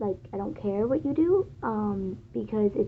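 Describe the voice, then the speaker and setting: This voice is quiet and moves at a fairly slow pace. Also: woman. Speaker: fan vlogger. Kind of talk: casual monologue. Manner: hesitant, many fillers.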